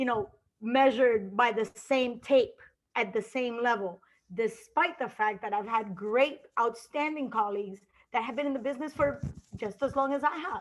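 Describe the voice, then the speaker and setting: With a Colombian accent, a woman speaks at a moderate pace in a high pitch, showing ordinary pitch variation. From Colombia, Cali. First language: Spanish. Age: 50s. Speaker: sports journalist. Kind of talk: interview.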